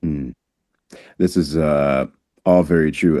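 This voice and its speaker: The voice has a dark, mellow tone, an American accent and ordinary pitch variation. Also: man. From US, Haitian family. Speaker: podcast host. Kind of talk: podcast interview.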